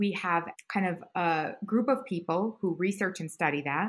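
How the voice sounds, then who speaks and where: A woman talks at a fairly slow pace in a medium pitch with ordinary pitch variation. It is a plain, everyday voice, recorded very cleanly against a silent background. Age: 40s. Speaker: head of a food industry innovation hub. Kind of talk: interview.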